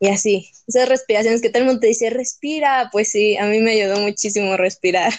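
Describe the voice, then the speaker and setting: A woman with an unremarkable speaking voice talks at a fairly quick pace and a fairly high pitch, with fairly even intonation, very even loudness, and hardly any pauses. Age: young. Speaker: podcast guest. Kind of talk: personal testimony.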